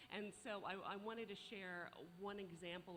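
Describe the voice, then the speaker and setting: A woman speaks with audible room echo around her. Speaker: arts organization leader. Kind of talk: conference presentation.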